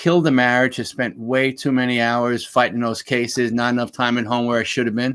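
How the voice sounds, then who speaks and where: Recorded very cleanly against a silent background, a man with a Bronx accent talks at a fairly quick pace with hardly any pauses, his medium-pitched voice flat and monotone. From New York, Bronx. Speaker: former lawyer, HR consultant and speaker. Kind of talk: interview.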